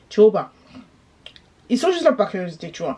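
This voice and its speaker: A woman talks at a very fast pace in an animated tone, her pitch fairly high. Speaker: YouTuber commentator. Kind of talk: gossip commentary vlog.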